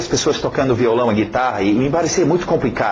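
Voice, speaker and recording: A man speaks with very wide pitch swings. Noticeable background noise and audible room echo are present. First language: English (speaking Portuguese). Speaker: English teacher. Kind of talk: lesson introduction. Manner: halting, many fillers and repetitions; casual, conversational.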